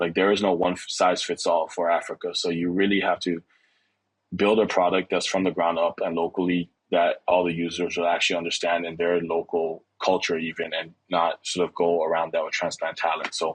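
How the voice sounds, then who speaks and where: In a French accent, a man speaks at a fairly quick pace with a very deep, low pitch and monotone, flat intonation. The sound is dry and close with no echo, over a quiet background. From DR Congo, Kinshasa. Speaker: start-up CEO. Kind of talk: interview. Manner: casual, with many fillers.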